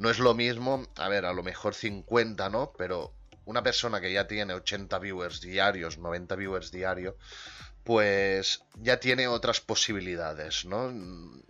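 A man with a fairly low voice speaks at a very slow pace with ordinary pitch variation while music plays in the background. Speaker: podcast host and streamer. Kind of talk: casual chat. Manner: quieter than usual.

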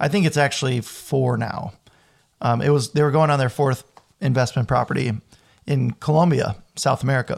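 Somewhat breathy, a man speaks at a fairly quick pace and medium pitch, with ordinary pitch variation, very even loudness, and long, frequent pauses. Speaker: self-taught cook and restaurant worker. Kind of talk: casual interview chat. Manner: articulate storyteller.

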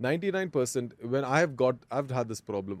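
The pace of this man's speech is moderate. His pitch sits in the medium range. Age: 30s. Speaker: motivational speaker and personal trainer. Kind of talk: interview. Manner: animated.

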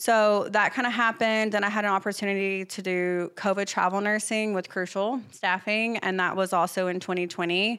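The voice is bright and sharp with monotone, flat intonation at a moderate pace, on a very clean recording with a silent background. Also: woman, medium pitch for a woman. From Arkansas. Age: 30s. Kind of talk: casual interview chat about her career. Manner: self-conscious about her accent.

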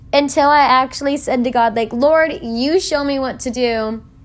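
A woman's animated tone with lively intonation, high pitch and a moderate pace. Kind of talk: casual faith talk monologue.

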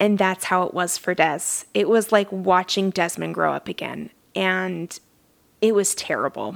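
In a normal speaking voice, a woman talks at a moderate pace and medium pitch with fairly even intonation, on a very clean recording with a silent background. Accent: American. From southern Utah. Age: 30s. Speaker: life coach and podcast host. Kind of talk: casual solo podcast monologue.

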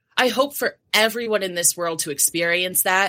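In an American accent, a bright, sharp voice with lively intonation comes across on a very clean recording with a silent background. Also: woman. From New Jersey. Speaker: health and wellness coach. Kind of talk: interview.

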